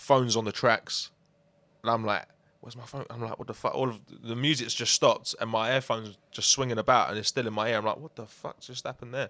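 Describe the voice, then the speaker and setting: A man with a London accent speaks very fast at a medium pitch, his tone bright and sharp, his intonation fairly even and his loudness swinging widely. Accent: London multicultural English. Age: 20s. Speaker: musician. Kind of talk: casual interview.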